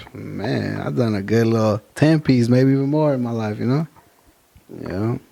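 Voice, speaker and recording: Medium pitch and ordinary pitch variation from a man, at a moderate tempo. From Fresno, California (born East LA). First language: Spanish. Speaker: rapper. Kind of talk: casual interview. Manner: casual slangy street talk.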